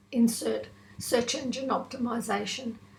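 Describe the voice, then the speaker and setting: Audible room echo around a woman's moderately paced voice. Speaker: online business tutor / vlogger. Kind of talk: tutorial.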